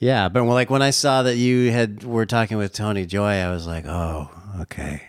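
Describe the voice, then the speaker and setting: In a normal speaking voice with an American accent, a man talks at a moderate pace with a fairly low pitch and lively intonation. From Southern California, Orange County. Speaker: singer-songwriter. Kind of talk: casual interview chat. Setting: in person, Santa Barbara.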